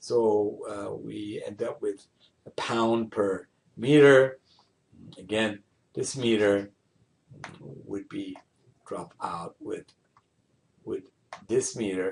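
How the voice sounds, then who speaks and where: Speaking at a very slow pace, a man leaves long, frequent pauses. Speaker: engineering professor. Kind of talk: pre-recorded lecture. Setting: online pre-recorded lecture over slides. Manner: hesitant, many fillers.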